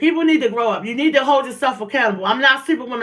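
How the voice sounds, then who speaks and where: Loud and animated, a woman talks at a high pitch with lively intonation. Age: 40s. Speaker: livestream host. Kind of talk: casual livestream chat. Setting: at home, livestream.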